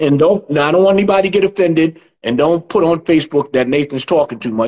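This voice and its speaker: A man in a New York accent races along at a very fast pace, his fairly high pitch showing ordinary pitch variation. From New York City (Chinatown). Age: 60s. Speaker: martial arts instructor. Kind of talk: interview.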